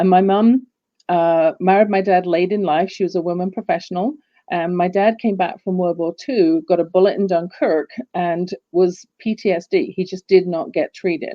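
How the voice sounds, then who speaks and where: This woman has an English accent and a medium pitch. Her intonation is fairly even and her pace moderate. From England, London. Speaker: business coach. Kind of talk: casual interview chat.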